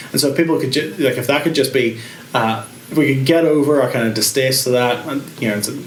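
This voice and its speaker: A man with a Northern Irish accent at a medium pitch and very fast pace, with fairly even intonation, audible room echo and noticeable background noise. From Northern Ireland, Carrickfergus, Co. Antrim. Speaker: pastor. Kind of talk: interview. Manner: halting.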